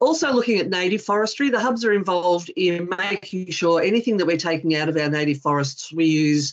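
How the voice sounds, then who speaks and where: In a quiet background, a woman with an Australian accent talks at a fairly quick pace with ordinary pitch variation. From Western Australia. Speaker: forestry industry representative. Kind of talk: webinar presentation. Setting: video call. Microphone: video call.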